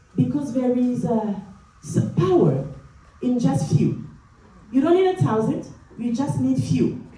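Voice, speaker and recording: In a French accent, a woman speaks at a fairly slow pace with medium pitch and very wide pitch swings. Noticeable background noise and audible room echo are present. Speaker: motivational speaker, nurse executive. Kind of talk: motivational speech. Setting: stage with audience. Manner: energetic.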